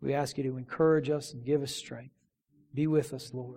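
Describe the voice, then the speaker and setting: At a moderate pace, the voice comes across warm and gentle yet dark and mellow, somewhat breathy, with monotone, flat intonation. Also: man. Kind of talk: fervent pastoral prayer closing a sermon, then a benediction and invitation to the altar.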